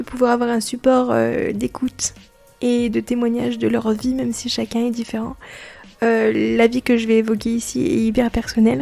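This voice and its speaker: Music plays underneath. A woman talks at a moderate speed. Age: 20s. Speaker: podcaster. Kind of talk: personal testimony podcast. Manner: hesitant with many fillers.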